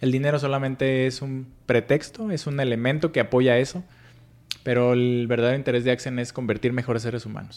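A man with an ordinary speaking voice talks at a medium pitch and a fairly quick pace. His intonation stays fairly even. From Mexico, Michoacán (Paracho). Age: 40s. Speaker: financial educator and entrepreneur. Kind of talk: interview. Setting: office.

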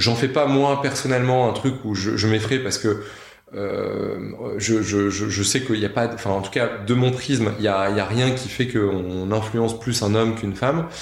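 At a fairly slow pace, a man speaks in a medium pitch with fairly even intonation, and audible room echo surrounds his voice. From northern France. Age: 30s. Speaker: company founder. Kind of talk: casual interview. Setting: office room. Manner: halting, many fillers and repetitions.

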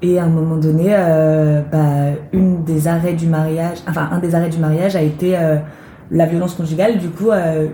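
Fairly even intonation at a fairly slow pace. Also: woman. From western France, near Nantes (Loire-Atlantique). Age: 20s. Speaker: actress and theatre director. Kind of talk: interview. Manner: hesitant, many fillers.

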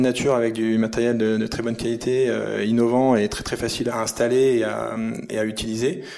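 Over noticeable background noise and audible room echo, a man speaks with monotone, flat intonation. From France, Grenoble area. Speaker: company founder. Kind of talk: podcast interview. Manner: halting, with repeated words and fillers.

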